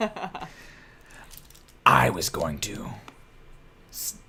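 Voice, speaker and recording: A man puts on a character voice and delivers it at a fairly slow pace. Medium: actual play. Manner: smug, theatrically villainous.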